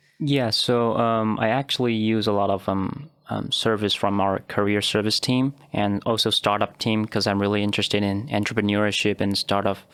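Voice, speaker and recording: A man with a Chinese accent, fairly low pitch, moderate pace, fairly even intonation, very even loudness and hardly any pauses. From Taiwan. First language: Mandarin Chinese. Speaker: postgraduate student. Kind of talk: podcast interview. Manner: halting, many fillers.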